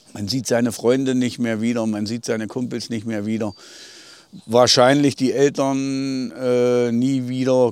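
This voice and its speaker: At a fairly slow pace, a man with a medium pitch and a dark, mellow tone speaks in a flat monotone. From Thuringia, Eichsfeld border area. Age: 50s. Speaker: village mayor, eyewitness. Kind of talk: interview, recounting memories. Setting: outdoors on a bridge by the river.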